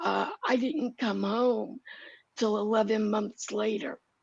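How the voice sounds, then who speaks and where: A woman with a fairly high pitch and vocal fry speaks at a very slow pace. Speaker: guest sharing personal health story. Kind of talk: interview testimony. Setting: live stream video call. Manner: breath-supported, speaks on the exhale.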